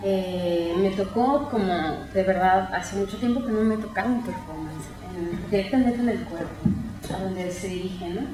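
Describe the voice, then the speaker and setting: The voice moves at a moderate pace with ordinary pitch variation, with music in the background and audible room echo. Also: woman, medium pitch for a woman. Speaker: art historian and researcher. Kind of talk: academic talk. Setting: colloquium with audience. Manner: halting.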